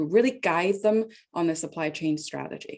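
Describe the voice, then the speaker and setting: At a moderate pace, a woman with a non-native accent speaks in a fairly low voice. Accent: noticeable non-native. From Hong Kong. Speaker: tech company executive. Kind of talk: interview chat. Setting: video call.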